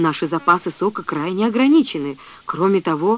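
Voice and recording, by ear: Someone reads aloud in a natural voice, the intonation lively.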